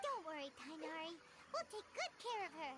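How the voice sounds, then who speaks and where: A squeaky, extremely high put-on character voice talks at a moderate pace. Loud background noise runs underneath. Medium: video game.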